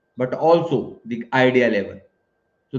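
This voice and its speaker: A man with an Indian accent speaks at a fairly slow pace and a medium pitch. His intonation is lively. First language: Hindi. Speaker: professor. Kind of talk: webinar Q&A. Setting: live online webinar. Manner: hesitant, many fillers.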